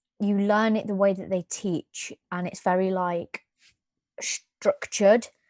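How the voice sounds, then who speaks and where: With a British accent, a woman speaks at a fairly slow pace in a medium pitch and flat, monotone intonation, recorded with a dry, close sound and no echo. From UK. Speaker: podcast co-host. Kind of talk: casual chat.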